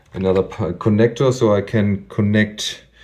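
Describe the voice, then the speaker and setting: A man talks at a very slow pace in a fairly low voice, with noticeable noise in the background. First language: not English. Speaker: DIY bike mechanic youtuber. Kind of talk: tutorial. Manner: hesitant, many fillers.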